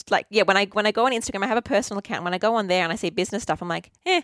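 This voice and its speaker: The recording is very clean, with a silent background and a dry, close sound with no echo. A woman speaks at a fairly high pitch. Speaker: podcast host and graphic designer. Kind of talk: interview. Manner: fast.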